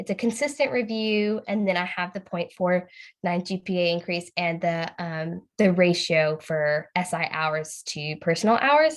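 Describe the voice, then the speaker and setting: A woman's ordinary speaking voice, fairly low and lively in intonation, fairly slow yet with hardly any pauses. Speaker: student facilitator in training. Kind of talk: practice speech review in a video call. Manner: casual, many fillers.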